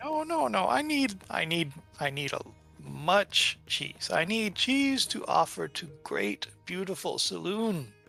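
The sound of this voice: Simply an unforced reading voice.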